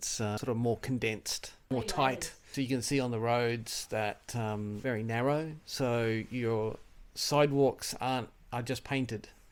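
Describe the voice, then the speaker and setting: This man's voice sits at a medium pitch and keeps a fairly even intonation. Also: fairly slow pace. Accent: Australian. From Australia, Melbourne. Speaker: tourist, scientist. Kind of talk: street interview. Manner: casual, hesitant with fillers.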